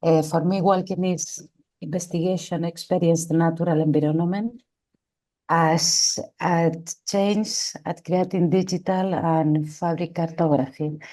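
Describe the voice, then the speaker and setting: Speaking at a fairly slow pace, a woman uses a fairly low pitch with a dark, mellow tone and monotone, flat intonation. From Spain, Barcelona. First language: Spanish or Catalan. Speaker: artist. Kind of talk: self-introduction in online meeting. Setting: video call. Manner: halting.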